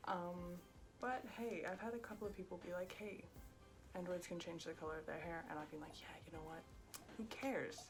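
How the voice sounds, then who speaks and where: Music plays behind a soft-spoken woman with a fairly low pitch. She talks at a fairly quick pace with ordinary pitch variation. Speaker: cosplayer. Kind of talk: makeup tutorial talk to camera.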